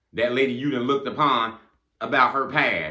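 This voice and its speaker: A man talks at a fairly quick pace in a medium pitch with ordinary pitch variation. His tone is bright and sharp, with vocal fry. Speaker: motivational speaker. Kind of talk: motivational monologue. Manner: fast; animated.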